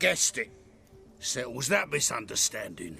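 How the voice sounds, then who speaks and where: A man puts on a raspy character voice at a medium pitch. He speaks at a moderate pace over clear music in the background. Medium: video game.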